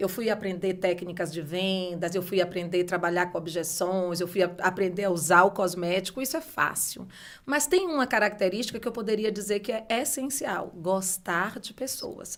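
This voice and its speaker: Speaking with a northeastern Brazilian accent, the voice runs on with hardly any pauses. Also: woman, medium pitch for a woman, ordinary pitch variation, moderate pace. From Brazil, Bahia (Salvador). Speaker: beauty entrepreneur, former university professor. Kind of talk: podcast interview.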